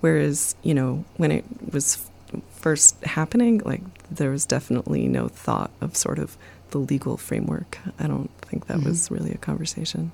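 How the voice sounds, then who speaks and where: The speaker talks at a moderate pace. Noticeable background noise runs under the voice. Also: woman. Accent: American. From US, back-to-land commune. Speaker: researcher and filmmaker. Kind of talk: interview.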